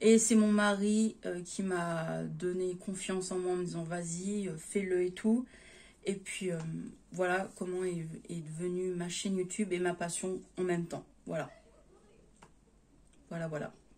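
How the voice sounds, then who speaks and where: A woman at medium pitch with a dark, mellow, somewhat breathy tone, monotone, flat intonation, a very slow pace, long, frequent pauses and big swings in loudness. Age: 20s. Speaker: YouTuber. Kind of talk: casual chat.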